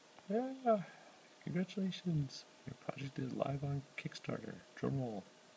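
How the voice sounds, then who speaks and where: A man talks at a fairly slow pace. Light background noise is present. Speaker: project creator. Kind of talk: casual talk to camera. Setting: indoors at home at night. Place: home room. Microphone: phone near.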